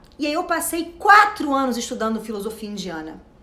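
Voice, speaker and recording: A woman's high-pitched, animated voice with very wide pitch swings, amid audible room echo and noticeable background noise. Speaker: self-knowledge coach. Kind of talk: motivational talk. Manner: fast.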